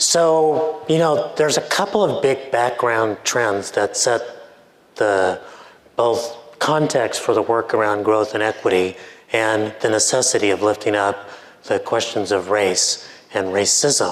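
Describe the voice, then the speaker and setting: A man speaks with very even loudness and ordinary pitch variation. Audible room echo and noticeable background noise surround him. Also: medium pitch for a man. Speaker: professor and author. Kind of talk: conference keynote. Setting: stage with audience. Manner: halting, many fillers.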